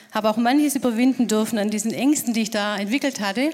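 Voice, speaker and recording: Fairly high in pitch, a woman talks at a fairly quick pace in an ordinary speaking voice. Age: 50s. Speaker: secondary school teacher. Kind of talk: panel discussion.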